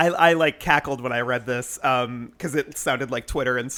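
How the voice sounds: A natural reading voice, its pitch variation ordinary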